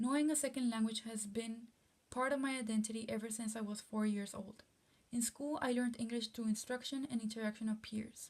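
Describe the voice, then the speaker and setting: Fairly high-pitched and somewhat breathy, a woman talks at a fairly quick pace. Her intonation is monotone and flat. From Texas, Rio Grande Valley (Mexican-American border town). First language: Spanish. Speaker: student. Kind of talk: class presentation, reading prepared text.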